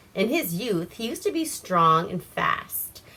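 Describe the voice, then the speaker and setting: A woman speaks over noticeable background noise. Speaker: storyteller. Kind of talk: reading aloud. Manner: stumbling over words.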